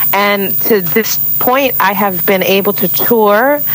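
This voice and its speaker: With a New York accent, a woman talks fairly slowly at a medium pitch with ordinary pitch variation over noticeable background noise. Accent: New York American. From Brooklyn, New York, US. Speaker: singer-songwriter. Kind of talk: radio interview. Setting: remote call from Miami.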